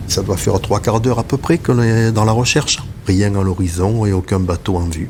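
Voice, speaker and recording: This man keeps a moderate pace and a fairly low pitch, his pitch variation ordinary, while noticeable background noise runs underneath. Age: 60s. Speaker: sea rescue volunteer. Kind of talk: testimony.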